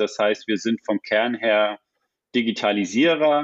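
A man with a normal speaking voice talks at a fairly slow pace, using medium pitch and ordinary pitch variation. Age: 40s. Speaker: applied research department head. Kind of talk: interview.

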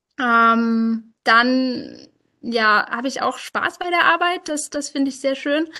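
In a raised, projected voice against a quiet background, a woman speaks very slowly at high pitch with ordinary pitch variation. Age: 20s. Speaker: software developer and project lead. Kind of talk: interview. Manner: halting, many filler sounds.

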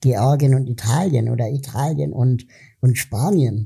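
In a very clean recording with a silent background, a man of medium pitch speaks with a dark, mellow tone that is somewhat breathy. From Germany (West Berlin). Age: 40s. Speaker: podcast host, political activist. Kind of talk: interview.

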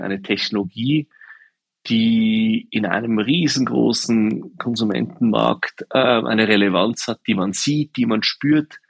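A man's medium-pitched voice, an unremarkable speaking voice, at a fairly slow pace, in a dry, close sound with no echo. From Swiss Alps. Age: 40s. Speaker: shoe company co-founder. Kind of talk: interview.

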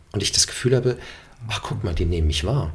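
Somewhat breathy tones carry the words. Intonation rises and falls in a lively way. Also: man. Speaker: actor and voice narrator. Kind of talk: casual interview.

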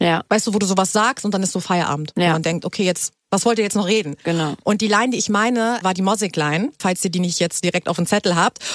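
A woman's medium-pitched voice at a very fast pace, with very even loudness, ordinary pitch variation, hardly any pauses, and a dry, close sound with no echo. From Hamburg, northern Germany. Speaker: radio host. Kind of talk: casual chat. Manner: animated.

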